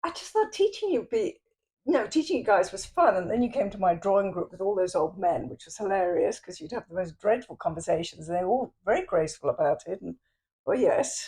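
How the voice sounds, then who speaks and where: With an English accent, the speaker talks at a fairly quick pace, with big swings in loudness. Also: woman. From England. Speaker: artist. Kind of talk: casual chat.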